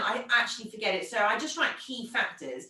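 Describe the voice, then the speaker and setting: A woman speaks at a fairly quick pace and a fairly high pitch. Noticeable background noise can be heard. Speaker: podcast host and micropigmentation trainer. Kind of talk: casual chat. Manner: fast.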